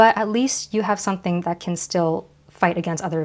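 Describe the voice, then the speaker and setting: A woman speaks at a fairly low pitch and moderate pace, with ordinary pitch variation, on a very clean recording with a silent background. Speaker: card game vlogger. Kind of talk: unboxing vlog.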